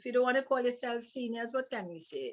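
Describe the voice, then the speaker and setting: This woman speaks with a high-pitched voice. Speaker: talk show co-host. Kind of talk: casual chat. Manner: halting.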